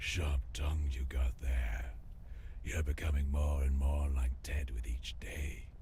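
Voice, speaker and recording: Over clear background noise, a man uses a put-on character voice at a fairly slow pace. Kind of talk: noir game drama. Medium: video game. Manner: world-weary, wry.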